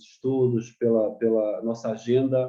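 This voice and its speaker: This man speaks at a medium pitch with a monotone, flat intonation. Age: 60s. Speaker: care home director and missionary. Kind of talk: testimony. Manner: halting.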